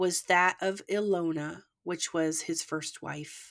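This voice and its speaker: A woman with a slight Canadian accent. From Canada. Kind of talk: scripted true crime narration; casual chat. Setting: remote recording across countries.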